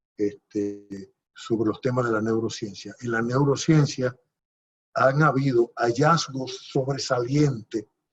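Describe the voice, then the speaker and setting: A man speaks at a fairly slow pace in a medium-pitched, somewhat breathy voice with ordinary pitch variation. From Dominican Republic, Puerto Plata province. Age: 70s. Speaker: politician. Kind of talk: interview. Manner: halting.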